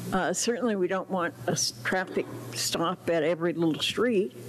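Against light background noise, a woman with an unremarkable speaking voice talks at a fairly slow pace in a fairly low pitch with ordinary pitch variation. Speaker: resident giving public comment. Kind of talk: public comment to council. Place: hall. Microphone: podium.

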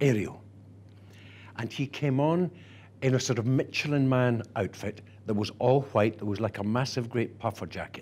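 A warm, dark, mellow tone in a Scottish accent, at a fairly slow pace with ordinary pitch variation. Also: man. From Scotland. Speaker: actor and theatre director. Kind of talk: archive interview answer. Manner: warm, anecdotal, expressive. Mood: warm, nostalgic storytelling. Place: office. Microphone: lapel.

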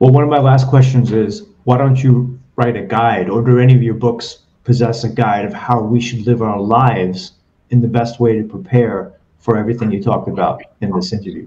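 At a fairly quick pace, a man with a medium-pitched, dark, mellow, somewhat breathy voice talks with fairly even intonation. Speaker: podcast host; interview host. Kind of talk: casual interview. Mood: engaged, conversational. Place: home room. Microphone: webcam mic, broken microphone; video call.

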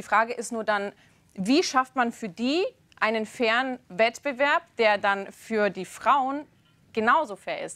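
At a very slow pace, a woman with a fairly high pitch and ordinary pitch variation speaks with big swings in loudness and a bright, sharp tone. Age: young. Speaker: talk show presenter. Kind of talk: TV debate. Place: studio.

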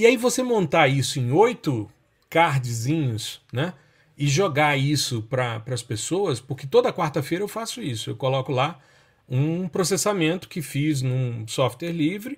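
A man talks at a moderate pace with a fairly high, somewhat breathy voice and lively intonation. The recording is very clean, with a silent background. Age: 50s. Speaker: university professor, remote sensing. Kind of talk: podcast interview.

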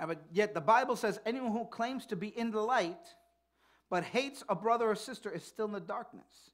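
A man talks at a fairly quick pace with a high pitch and ordinary pitch variation. The background is quiet. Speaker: pastor. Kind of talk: sermon. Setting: church. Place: church.

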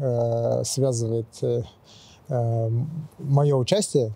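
Somewhat breathy and dark, mellow in tone, a man speaks at a medium pitch with fairly even intonation. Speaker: race organizer. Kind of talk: interview. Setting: outdoors.

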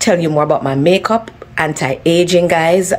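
Delivery moves at a moderate pace with fairly even intonation. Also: woman. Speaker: home vlogger. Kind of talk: casual vlog chat. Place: garage. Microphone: phone near.

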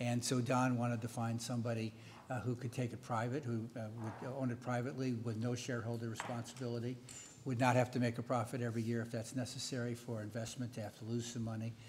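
Over light background noise, a man with an American accent talks very fast in a somewhat breathy, monotone voice with flat intonation. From United States. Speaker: veteran newspaper editor; panelist. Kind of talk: panel discussion. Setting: stage with audience. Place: hall. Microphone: podium.

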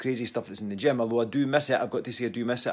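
A man with fairly even intonation against a quiet background. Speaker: fitness coach. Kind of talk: casual vlog chat. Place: home room. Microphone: phone near.

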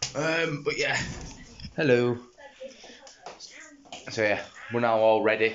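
A man speaks very slowly with a Yorkshire accent and fairly even intonation. Long, frequent pauses break up his speech, with light background noise behind. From Yorkshire, England. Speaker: vlogger and streamer. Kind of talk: casual vlog talk to camera. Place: home room. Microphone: phone near.

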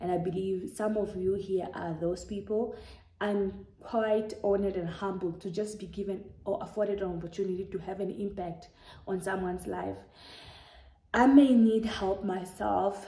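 A woman talks at a moderate pace, somewhat breathy, in a dark, mellow tone with fairly even intonation. Audible room echo fills the recording. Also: medium pitch for a woman. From Namibia. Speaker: YouTuber. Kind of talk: casual vlog monologue. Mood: warm, earnest. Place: home room. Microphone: phone near.

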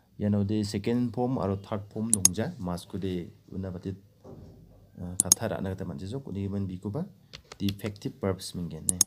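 The pace is moderate. Noticeable background noise runs under the speech. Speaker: language teacher. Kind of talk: tutorial.

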